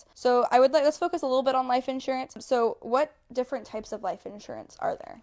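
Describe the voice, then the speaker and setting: A woman's high voice with an American accent, fairly quick, ordinary pitch variation, very clean recording with a silent background. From southwest Florida. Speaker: local real estate content creator interviewer. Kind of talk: casual interview.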